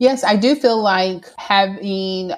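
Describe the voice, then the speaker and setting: She is a woman with an American accent and an unremarkable speaking voice. Her pace is fairly slow, with ordinary pitch variation. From Houston, Texas. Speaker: working mother and college graduate. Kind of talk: interview.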